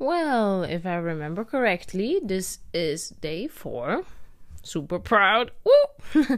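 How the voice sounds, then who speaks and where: Speaking very slowly, a woman uses a medium pitch with very wide pitch swings. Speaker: travel vlogger. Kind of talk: personal video diary. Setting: in own room at night. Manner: casual, rambling with laughs.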